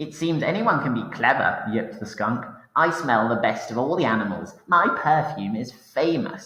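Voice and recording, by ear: The speaker is reading aloud in a natural voice, the intonation rising and falling in a lively way.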